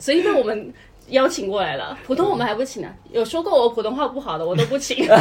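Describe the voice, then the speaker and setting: Over noticeable background noise, a woman with a Hunan accent speaks in an animated tone at a very fast pace and a high pitch, with very wide pitch swings. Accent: Hunan-accented Mandarin. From China, Hunan. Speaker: podcast co-host. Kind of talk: casual chat. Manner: animated, laughing often.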